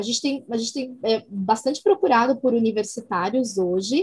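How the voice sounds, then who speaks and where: At a moderate pace, a woman talks in a fairly high, somewhat breathy voice. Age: 40s. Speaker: social responsibility coordinator. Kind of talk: casual interview.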